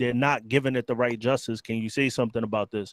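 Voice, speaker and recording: A man speaks with a New York accent at a medium pitch. The sound is dry and close, with no echo. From New York City (Bronx). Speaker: biker news youtuber, ex-gang member. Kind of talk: casual chat.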